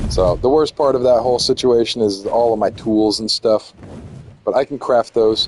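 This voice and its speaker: With an American accent, a man speaks at a medium pitch in a dry, close sound with no echo, over noticeable background noise. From US, Florida. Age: 30s. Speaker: video game streamer. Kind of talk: casual gameplay livestream commentary. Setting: home livestream on PlayStation 5. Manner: casual, halting with fillers.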